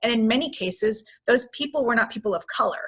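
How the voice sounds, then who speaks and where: A woman with a bright, sharp tone speaks at a fairly quick pace. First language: Spanish. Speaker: city councilwoman, panelist. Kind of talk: panel discussion webinar. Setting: video call.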